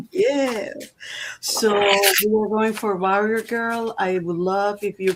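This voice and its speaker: The speech moves at a very slow pace with fairly even intonation. Noticeable background noise runs underneath. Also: woman, fairly high pitch for a woman. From Puerto Rico. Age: 70s. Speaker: tarot reader. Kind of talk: live stream tarot reading.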